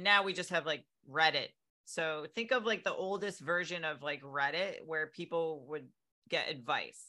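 Against a silent background in a very clean recording, a woman with an American accent speaks at a moderate pace in a fairly low pitch, her tone bright and sharp with ordinary pitch variation. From Connecticut, US. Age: 40s. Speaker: fitness and men's health coach. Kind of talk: casual interview chat.

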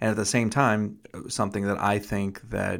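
In a very clean recording with a silent background, a man with an unremarkable speaking voice talks at a fairly low pitch and moderate pace, his intonation fairly even. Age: 40s. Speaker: podcast host. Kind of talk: casual conversation, podcast interview with his wife.

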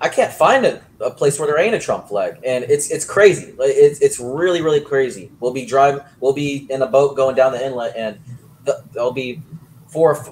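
With noticeable background noise, a man talks at a moderate pace in a fairly high pitch, with ordinary pitch variation. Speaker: guest sports and politics commentator. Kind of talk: casual opinionated chat on politics and sports. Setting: remote video call.

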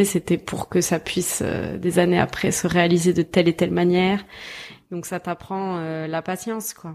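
A woman with a fairly low pitch speaks at a fairly slow pace, in a monotone, flat way. Noticeable background noise is present. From southern France, Toulouse. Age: 20s. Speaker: filmmaker and actress. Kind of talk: casual chat.

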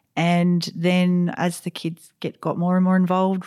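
A woman speaks in an Australian accent at a fairly low pitch, with a dark, mellow tone. The recording is very clean, with a silent background. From South Australia (Riverland). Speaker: basketball club president. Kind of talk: interview. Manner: halting, many fillers and restarts.

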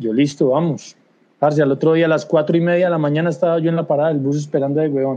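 A man with a fairly high-pitched voice talks at a very fast pace. His intonation stays fairly even. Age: 40s. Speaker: squash coach. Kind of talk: casual chat.

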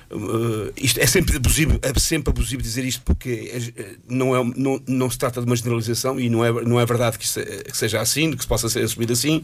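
A man is speaking. His pace is moderate. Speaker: radio panelist. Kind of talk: casual chat.

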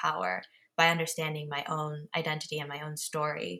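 At a moderate pace, a woman with an American accent speaks in a very deep, low pitch with a bright, sharp tone. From Japan and USA. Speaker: media organization co-founder. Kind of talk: interview conversation. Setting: podcast recording.

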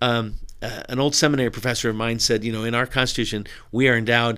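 With a Californian accent, a man of medium pitch speaks at a fairly quick pace on a very clean recording with a silent background. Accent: General American, Californian. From Southern California. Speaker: pastor. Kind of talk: interview conversation.

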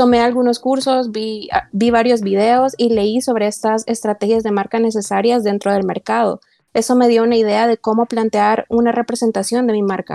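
Dry and close with no echo, a woman's fairly high voice has a dark, mellow tone, fairly even intonation, a moderate pace, and hardly any pauses. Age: 20s. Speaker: student and small online business owner. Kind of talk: podcast interview.

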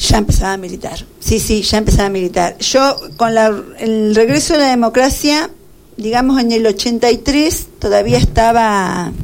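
Speaking at a fairly slow pace, a woman uses an ordinary speaking voice pitched fairly high. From Argentina, Buenos Aires province (Carlos Casares). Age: 50s. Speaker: retired teacher and local politician. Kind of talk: radio interview.

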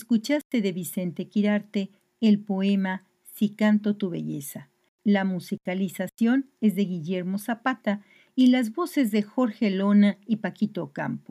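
In a very clean recording with a silent background and a dry, close sound with no echo, a woman speaks at a medium pitch with ordinary pitch variation, a dark, mellow tone, a somewhat breathy quality and a fairly slow pace. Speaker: podcast host. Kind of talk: scripted narration introducing a poet and closing the episode. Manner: formal, measured, informative.

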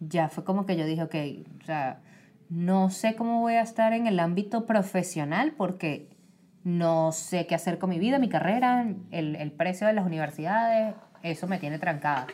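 This woman's voice has a dark, mellow tone at a medium pitch, with ordinary pitch variation and a moderate pace. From Venezuela. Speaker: marketing worker. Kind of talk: casual chat.

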